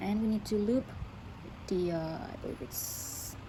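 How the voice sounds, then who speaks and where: Her intonation is fairly even. This woman has a non-native accent. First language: not English. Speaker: craft tutorial creator. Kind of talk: tutorial. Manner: halting, self-correcting; casual, informal.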